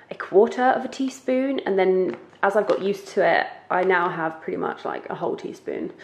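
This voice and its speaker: Noticeable background noise accompanies a woman speaking. She talks at a fairly slow pace with lively intonation. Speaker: lifestyle vlogger. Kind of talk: casual vlog tutorial. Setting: home kitchen.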